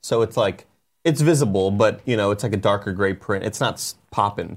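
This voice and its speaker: A man speaks at a fairly quick pace in an ordinary speaking voice. His pitch varies in an ordinary way. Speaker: podcast co-host. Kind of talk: casual chat.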